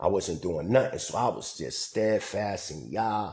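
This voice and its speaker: With vocal fry and a fairly low pitch, a man talks at a very slow pace. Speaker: livestreamer / community leader. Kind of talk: casual livestream talk.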